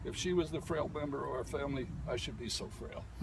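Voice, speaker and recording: Noticeable background noise fills the clip. Through it, a man talks at a fairly quick pace. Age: 80s+. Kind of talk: eulogy at a graveside. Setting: outdoors.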